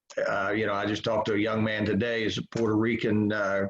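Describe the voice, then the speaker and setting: With a normal speaking voice and a fairly low pitch, a man talks at a fairly quick pace. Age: 60s. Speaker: college baseball head coach. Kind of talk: interview.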